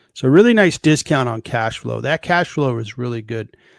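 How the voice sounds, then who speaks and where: The recording is very clean, with a silent background. The sound is dry and close, without echo. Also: man. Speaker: stock market streamer. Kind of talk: live stream stock analysis. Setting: live stream. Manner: fast.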